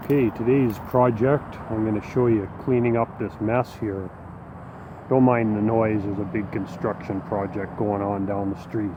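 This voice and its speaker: With noticeable background noise, a man speaks at a moderate pace with a fairly low pitch and fairly even intonation. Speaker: YouTuber, hobby farmer and musician. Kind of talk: casual vlog talk.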